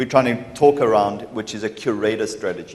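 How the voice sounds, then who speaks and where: A man's pitch moves in an ordinary way as noticeable noise fills the background. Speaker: partner program manager. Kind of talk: conference presentation. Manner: loud.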